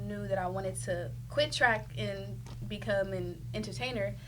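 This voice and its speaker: The speaker talks fairly slowly with an American accent, and room echo can be heard. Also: woman. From US Midwest, Kansas City, Missouri. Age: 20s. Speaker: singer. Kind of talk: casual interview.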